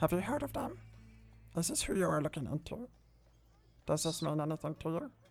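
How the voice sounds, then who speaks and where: The speaker puts on a character voice at a middle pitch and a fairly quick pace, with long, frequent pauses. Music plays in the background. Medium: actual play. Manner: eager, chatty, polite, formal.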